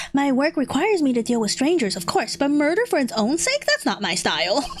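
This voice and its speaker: Using a put-on character voice, a woman talks at a fairly quick pace in a high pitch, with clear background noise behind her. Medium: virtual streamer. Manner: gruff, composed.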